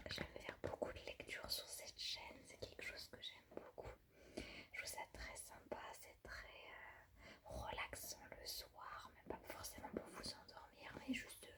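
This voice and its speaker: Whispering at a fairly slow pace. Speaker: ASMR storyteller. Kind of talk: casual talk to camera. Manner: whispered.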